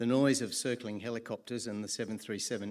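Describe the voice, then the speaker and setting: Speaking at a fairly quick pace with fairly even intonation, a man with an Australian accent is heard on a very clean recording with a silent background. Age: 70s. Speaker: public hearing speaker. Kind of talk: prepared public testimony. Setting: public hearing.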